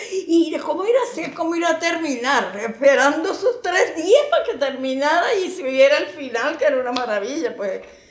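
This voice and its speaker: A woman speaks with a Venezuelan accent at a moderate pace. Her intonation is lively, and audible room echo surrounds her voice. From Venezuela, Yaracuy state (Yaritagua); Yaracuy, Venezuela. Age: 80s+. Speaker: elderly interviewee recalling family history; interviewee. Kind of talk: documentary interview, reminiscing. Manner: fluent, fond conversational tone. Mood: animated, nostalgic storytelling. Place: home room.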